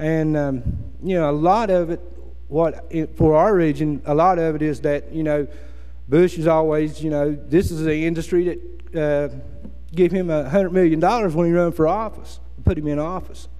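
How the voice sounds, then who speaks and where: With an American accent, a man talks at a moderate pace in a fairly high voice over noticeable background noise. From West Virginia, Appalachia. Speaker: former coal miner, environmental activist. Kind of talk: speech to an audience.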